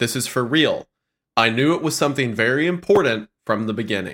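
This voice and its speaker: With a bright, sharp tone and lively intonation, a man speaks at a medium pitch on a very clean recording with a silent background. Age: 20s. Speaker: podcast co-host. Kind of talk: casual chat. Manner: laughs often.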